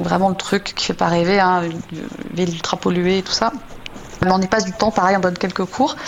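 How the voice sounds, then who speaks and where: Noticeable background noise is present. Through it, a woman talks at a medium pitch. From France. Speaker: software engineering manager. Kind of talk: radio interview. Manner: hesitant, many repetitions.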